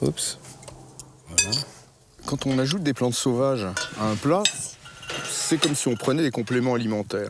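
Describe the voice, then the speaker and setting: The speaker moves at a moderate pace with lively intonation and very even loudness, pausing long and often. Noticeable background noise runs underneath. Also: man, medium pitch for a man. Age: 60s. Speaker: botanist and wild plant forager. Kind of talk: casual explanation during a foraging walk. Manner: animated.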